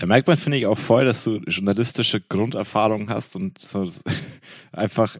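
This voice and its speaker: With an unremarkable speaking voice, a man talks at a fairly quick pace, his pitch fairly low with ordinary pitch variation, on a very clean recording with a silent background and a dry, close sound with no echo. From Franconia. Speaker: podcast host. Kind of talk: casual chat.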